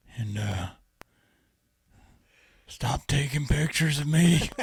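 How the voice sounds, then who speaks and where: Putting on a raspy character voice, a man talks at a fairly slow pace with a fairly high pitch. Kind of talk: casual podcast banter. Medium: role play.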